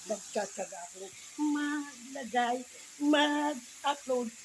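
Noticeable background noise runs behind this recording. A man talks at a fairly slow pace in it. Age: 50s. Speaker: cooking vlogger. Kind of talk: cooking tutorial. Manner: casual.

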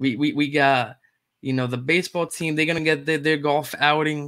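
The man's tone is fairly bright and his pitch is medium.

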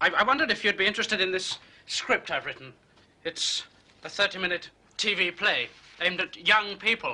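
Plain reading aloud, ordinary in its pitch variation

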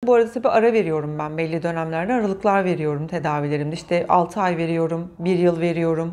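Barely pausing, a woman rattles along at a very fast pace in a fairly low voice with ordinary pitch variation. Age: 40s. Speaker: patient sharing IVF story. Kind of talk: interview testimony. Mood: warm, emotional recollection. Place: studio.

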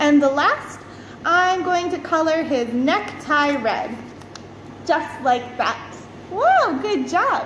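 A woman with an extremely high pitch speaks at a very slow pace, with audible room echo and light background noise. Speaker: teacher. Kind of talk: tutorial for young children. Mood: warm, cheerful, encouraging. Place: classroom. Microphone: phone near.

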